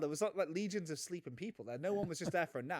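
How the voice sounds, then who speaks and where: With a British accent, a man talks at a very fast pace using lively intonation. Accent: British, similar to the guest's. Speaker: podcast co-host. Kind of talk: casual chat. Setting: remote recording.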